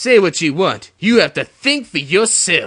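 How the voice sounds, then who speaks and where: A man puts on a character voice. It is high-pitched and swings very widely in pitch. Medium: solo performance. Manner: whiny and defensive.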